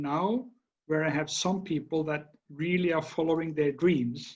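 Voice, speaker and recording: A man's voice with ordinary pitch variation. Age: 60s. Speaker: battery company executive. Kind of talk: interview. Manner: halting.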